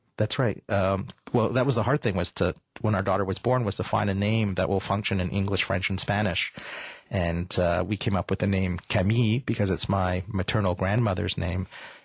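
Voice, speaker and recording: At a fairly quick pace, a man with a Canadian accent speaks in a somewhat breathy, fairly low voice with fairly even intonation and very even loudness. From Canada, mostly Toronto. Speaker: filmmaker. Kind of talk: radio interview. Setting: radio studio.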